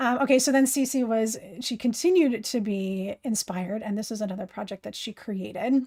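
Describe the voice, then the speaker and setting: The speaker talks with ordinary pitch variation and hardly any pauses, sounding somewhat breathy. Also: woman, fairly high pitch for a woman, moderate pace. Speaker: craft live streamer. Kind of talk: live stream tutorial. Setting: live stream. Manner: animated.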